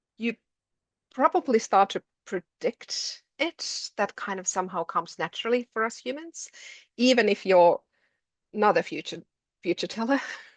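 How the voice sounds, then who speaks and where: A woman's fairly high voice with a Finnish accent, lively intonation and a moderate pace broken by long, frequent pauses, in a dry, close sound with no echo over a quiet background. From Finland. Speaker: education lecturer. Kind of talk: webinar presentation.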